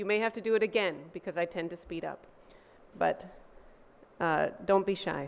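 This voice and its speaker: With long, frequent pauses, a woman speaks at a medium pitch and ordinary pitch variation. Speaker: professor. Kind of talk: presentation. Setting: room with audience. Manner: fast.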